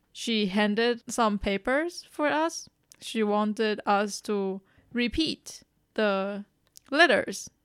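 Speaking at a very slow pace, a woman with a Chinese accent uses lively intonation. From Taiwan. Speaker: podcast co-host. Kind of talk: casual chat.

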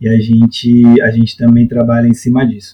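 This man's voice sits at a medium pitch. It sounds somewhat breathy, with a dark, mellow tone. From Brazil, São Paulo periphery. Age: 30s. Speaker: youth football coach. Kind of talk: podcast interview. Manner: hesitant, many fillers.

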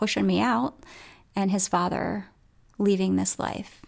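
This woman has an unremarkable speaking voice at a medium pitch. The recording is very clean, with a silent background. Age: 40s. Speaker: wellness podcast host. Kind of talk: solo wellness podcast talk. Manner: warm, casual with frequent fillers.

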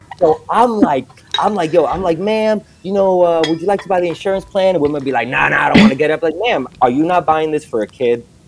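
A man with an American accent talks very fast at a high pitch with lively intonation. Noticeable background noise sits behind him. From New York City. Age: 30s. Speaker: comedian. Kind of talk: casual chat. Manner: animated.

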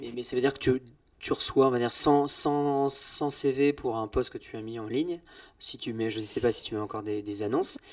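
A man at a moderate pace, with big swings in loudness, on a very clean recording with a silent background. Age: 40s. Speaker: podcast host. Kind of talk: casual interview.

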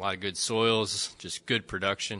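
Against a quiet background, a man with an American accent speaks in a fairly low voice with a bright, sharp tone. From Central Michigan, US. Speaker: agricultural extension crop specialist. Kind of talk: casual panel discussion.

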